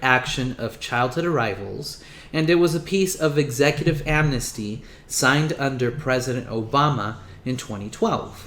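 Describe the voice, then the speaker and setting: With audible room echo around him, a man speaks at a moderate pace and medium pitch, his tone bright and sharp and his pitch varying in an ordinary way. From Mexico, raised in US from age five. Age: 20s. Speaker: political commentator. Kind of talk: political commentary monologue.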